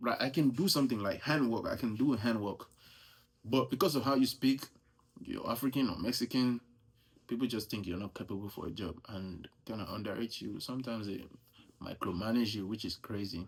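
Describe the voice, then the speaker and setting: On a very clean recording with a silent background, a man with a strong Nigerian accent speaks at a fairly quick pace, medium in pitch with ordinary pitch variation. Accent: thick Nigerian. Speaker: US Army soldier. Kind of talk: casual vlog monologue. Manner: casual, conversational.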